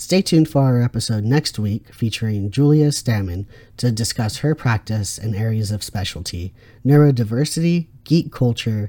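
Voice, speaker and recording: A man speaks at a moderate pace and medium pitch in a somewhat breathy voice with a dark, mellow tone. His intonation is lively, on a very clean recording with a silent background. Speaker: podcast host and counselor. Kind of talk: interview.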